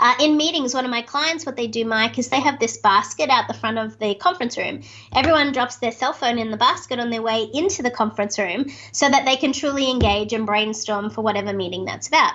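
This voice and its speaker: Speaking at a very fast pace, a woman with an Australian accent has a high pitch and ordinary pitch variation. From Australia, Sydney. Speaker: speaker and author. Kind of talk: interview. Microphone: video call.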